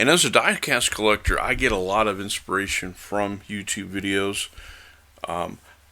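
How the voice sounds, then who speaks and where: On a very clean recording with a silent background, a man speaks at a moderate pace in a relaxed tone, his fairly low voice bright and sharp. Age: 60s. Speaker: diecast collector and video creator. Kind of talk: casual video commentary. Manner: relaxed, with frequent fillers.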